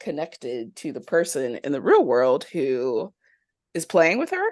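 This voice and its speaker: Against a quiet background, the speaker uses an animated tone at a fairly slow pace. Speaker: podcast host. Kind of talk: casual chat. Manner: animated, laughs often.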